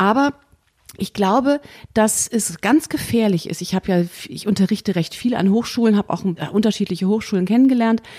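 With a dark, mellow tone and ordinary pitch variation, the speech moves at a fairly quick pace broken by long, frequent pauses, recorded dry and close with no echo. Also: woman, medium pitch for a woman. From Germany, Bonn. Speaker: jazz pianist and composer. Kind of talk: interview.

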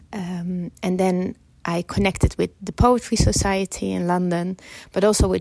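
Recorded with a dry, close sound and no echo, a woman speaks at a moderate pace with a medium pitch. Noticeable background noise runs underneath. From Netherlands. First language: Dutch. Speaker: filmmaker. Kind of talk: interview.

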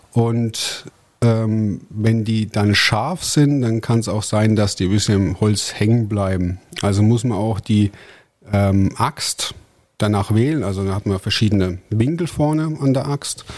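The man talks at a very slow pace in a fairly low voice with ordinary pitch variation. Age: 30s. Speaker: forestry worker and competitive lumberjack athlete. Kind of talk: casual interview.

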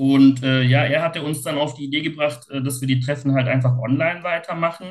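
The speaker talks at a fairly quick pace with hardly any pauses, a somewhat breathy voice and fairly even intonation. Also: man, fairly high pitch for a man. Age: 40s. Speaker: self-help group leader with OCD. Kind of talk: casual interview. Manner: halting.

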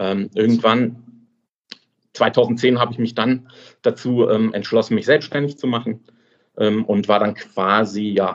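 The speech moves at a fairly slow pace, with monotone, flat intonation and long, frequent pauses. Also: man. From Swabia, southern Germany. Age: 30s. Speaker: affiliate website owner. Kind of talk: interview. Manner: hesitant, many fillers.

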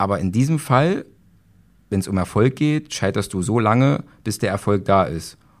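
With long, frequent pauses, a man speaks at a moderate pace in a fairly low pitch with lively intonation. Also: very clean recording, silent background. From Saxony-Anhalt, Germany (Magdeburg). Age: 30s. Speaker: police officer and trading student. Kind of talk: interview. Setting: live at a trading event venue.

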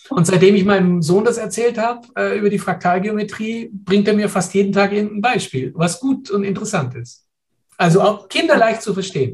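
The speaker is a man with a high pitch. He talks fairly quickly. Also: ordinary pitch variation. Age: 60s. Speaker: professor and physician. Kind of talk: interview. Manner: hesitant, many fillers.

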